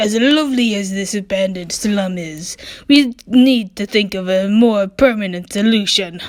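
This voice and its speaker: In a put-on character voice, a woman speaks at a moderate pace with a medium pitch. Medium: solo performance. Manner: dry, sarcastic.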